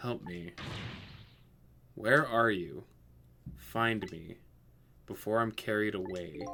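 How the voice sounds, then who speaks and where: A man speaks in a put-on character voice at a fairly slow pace. He leaves long, frequent pauses. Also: fairly low pitch for a man. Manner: pleading, helpless.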